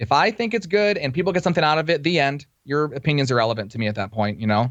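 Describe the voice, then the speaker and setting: This man talks at a very fast pace, his fairly high pitch moving in very wide swings. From Detroit area, Michigan. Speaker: radio DJ. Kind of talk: casual chat.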